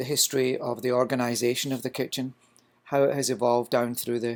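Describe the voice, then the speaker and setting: A man with a slight Scottish accent, talking at a fairly quick pace. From Scotland. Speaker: culinary instructor. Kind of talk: lecture.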